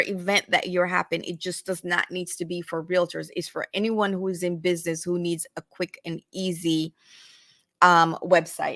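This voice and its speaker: A woman's medium-pitched, monotone voice with flat intonation, at a moderate pace, dry and close with no echo. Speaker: realtor and online group host. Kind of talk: live-stream tutorial. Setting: live stream, away from home studio. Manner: halting, with many fillers.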